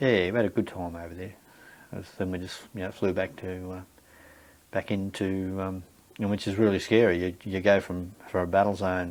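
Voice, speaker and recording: A man with a very deep, low voice and an Australian accent speaks in a flat monotone at a moderate pace. His loudness swings widely, long pauses come often, and the recording is very clean with a silent background. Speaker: war veteran. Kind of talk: interview answer. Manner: hesitant, casual.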